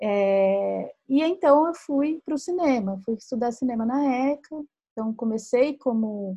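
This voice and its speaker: A dark, mellow tone and a somewhat breathy quality in a woman's voice. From Minas Gerais, Brazil. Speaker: writer and podcast host. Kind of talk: casual chat. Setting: livestream video call.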